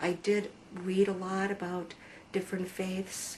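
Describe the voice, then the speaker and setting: A woman speaks in an American accent at medium pitch. Her pace is very slow. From USA. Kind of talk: testimony. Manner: hesitant, many fillers.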